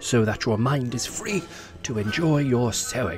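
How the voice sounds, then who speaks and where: Music plays in the background. A man speaks at medium pitch with ordinary pitch variation. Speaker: voice-over artist. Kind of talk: comic reading of a vintage instruction book. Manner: mock-formal, instructive.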